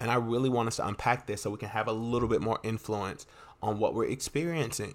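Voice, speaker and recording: Very clean and silent in the background, the recording has a man speaking very fast at a medium pitch. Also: ordinary pitch variation. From US South, North Carolina. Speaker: podcast host, self-help. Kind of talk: motivational monologue. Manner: animated.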